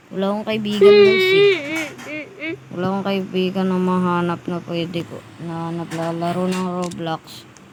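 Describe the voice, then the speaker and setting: Over noticeable background noise, a woman speaks at a fairly slow pace with big swings in loudness. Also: medium pitch for a woman, ordinary pitch variation, hardly any pauses. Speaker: gaming YouTuber. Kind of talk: gameplay commentary. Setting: at home.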